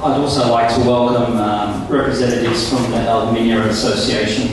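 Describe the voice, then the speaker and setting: The speech moves at a fairly quick pace through strong room echo and noticeable background noise. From Palestine. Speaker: MC. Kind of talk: formal event speech. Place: hall.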